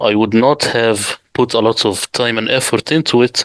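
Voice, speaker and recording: A man with an Arabic accent speaks at a fairly slow pace in a bright, sharp tone, his medium pitch held in fairly even intonation, with dry, close sound and no echo. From Middle East. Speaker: Quran translator. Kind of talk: interview.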